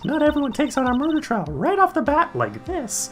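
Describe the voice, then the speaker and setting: Someone puts on a character voice with a high pitch at a fairly quick pace. Clear music plays in the background. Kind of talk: put-on girl voice. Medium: actual play.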